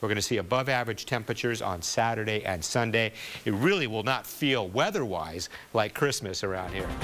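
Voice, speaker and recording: Music plays in the background as a man speaks at a fairly quick pace. His pitch is medium, with ordinary pitch variation. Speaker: television chief meteorologist. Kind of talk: TV weather forecast broadcast.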